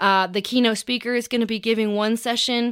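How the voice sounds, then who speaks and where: In a Southern US accent, a woman talks fast-ish with a bright, sharp tone and monotone, flat intonation. Her fairly quick delivery comes through a very clean recording with a silent background. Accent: US South. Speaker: podcast host. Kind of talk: casual monologue update. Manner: halting with many fillers.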